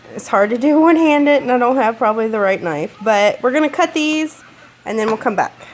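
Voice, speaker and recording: A woman talks at a fairly quick pace in a high pitch with lively intonation. Noticeable background noise runs behind her. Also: long, frequent pauses. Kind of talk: casual cooking tutorial to camera.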